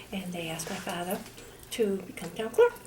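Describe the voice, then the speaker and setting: A woman with an American accent, medium pitch, and noticeable background noise. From Hopkinton, Massachusetts. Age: 60s. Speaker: oral history interviewee. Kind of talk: oral history interview. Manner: hesitant with fillers.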